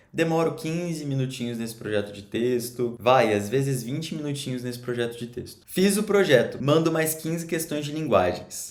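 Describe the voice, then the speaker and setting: Amid audible room echo, a man with a fairly high pitch talks at a fairly quick pace in an animated tone with lively intonation. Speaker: education coach for exam students. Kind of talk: casual tutorial. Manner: fast.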